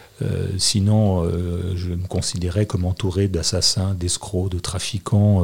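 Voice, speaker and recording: This man's voice is very deep and low, with fairly even intonation. He speaks at a fairly slow pace. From Annecy, Haute-Savoie, France. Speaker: public prosecutor. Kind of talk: interview.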